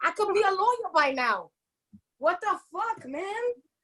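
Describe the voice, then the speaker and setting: A woman with an extremely high pitch speaks fairly slowly in an animated tone. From New York, Puerto Rican family. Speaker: comedian. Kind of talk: stand-up.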